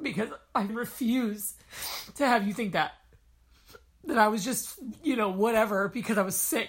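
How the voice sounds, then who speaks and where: A woman speaks in a somewhat breathy voice at a fairly high pitch with ordinary pitch variation. Her speech has long, frequent pauses. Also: moderate pace. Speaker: podcast host living with lupus. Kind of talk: casual chat. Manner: animated.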